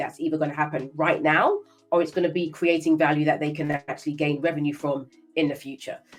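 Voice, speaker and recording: A woman's very deep, low voice at a very fast pace, with ordinary pitch variation and noticeable background noise. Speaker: sales consultant and company founder. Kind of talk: whiteboard tutorial. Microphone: no mic, camera audio.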